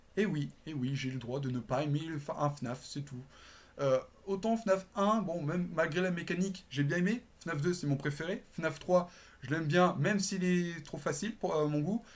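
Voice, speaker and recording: Speech at a moderate pace, captured in a very clean recording with a silent background. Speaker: YouTuber. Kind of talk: casual chat. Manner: casual, hesitant with many fillers.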